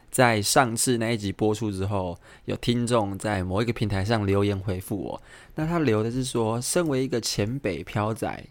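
A man's fairly low voice shows ordinary pitch variation, recorded very cleanly against a silent background. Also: moderate pace. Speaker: podcast host. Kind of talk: casual solo monologue. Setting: home apartment room, recorded near midnight. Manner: soft-spoken, keeps voice low late at night.

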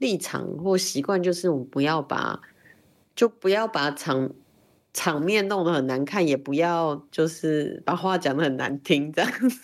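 A woman with a normal speaking voice talks at a fairly slow pace and fairly low pitch, with ordinary pitch variation. The recording is very clean, with a silent background. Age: 40s. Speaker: LGBTQ rights activist. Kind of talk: interview conversation.

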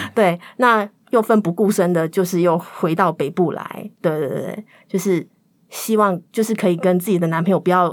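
This woman has an unremarkable speaking voice at medium pitch, with ordinary pitch variation. She talks at a moderate pace on a very clean recording with a silent background. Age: 30s. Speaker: podcast guest. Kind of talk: personal storytelling.

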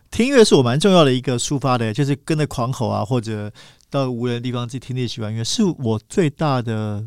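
In a very clean recording with a silent background, a man speaks at a fairly quick pace with medium pitch, ordinary pitch variation and an unremarkable speaking voice. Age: 40s. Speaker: magazine editor and writer. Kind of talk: casual interview chat. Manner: fast.

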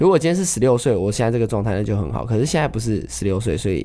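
A man speaks in a fairly low voice with a dark, mellow tone and vocal fry. His intonation is lively. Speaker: street drummer. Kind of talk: casual interview.

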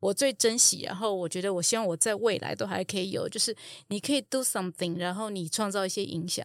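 Fairly quick and at a medium pitch, a woman talks in a plain, everyday voice. The sound is dry and close with no echo, in a very clean recording with a silent background. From Taiwan. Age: 40s. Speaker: mature student, former marketing executive. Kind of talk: casual interview.

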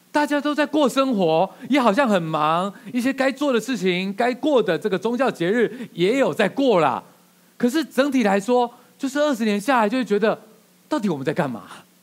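Pitched high for a man, his voice moves at a moderate pace with lively intonation. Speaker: pastor. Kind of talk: sermon.

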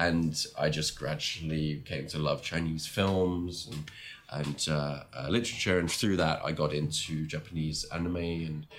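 Noticeable background noise sits behind a man with an English accent. His very deep, low voice moves at a moderate pace with fairly even intonation. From England. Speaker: long-term world traveller. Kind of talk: casual interview chat.

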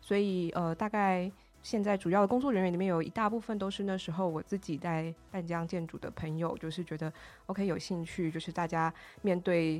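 Music in the background behind a woman's fairly low voice, fairly even in intonation and fairly quick in pace. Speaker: union organizer and urban planner. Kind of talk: casual interview.

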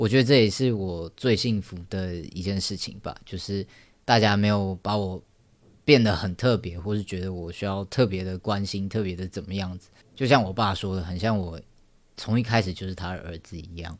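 Very deep and low-pitched, a man speaks with fairly even intonation and big swings in loudness on a very clean recording with a silent background. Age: 20s. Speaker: podcast host. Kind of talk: personal storytelling monologue. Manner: halting.

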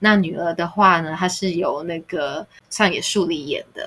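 With a normal speaking voice, this woman keeps a medium pitch and ordinary pitch variation. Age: middle-aged. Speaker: podcast co-host. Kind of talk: casual chat.

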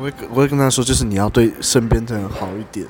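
A man with a medium pitch talks at a fairly quick pace while music plays in the background. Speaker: podcast guest. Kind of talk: casual chat. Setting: coffee shop.

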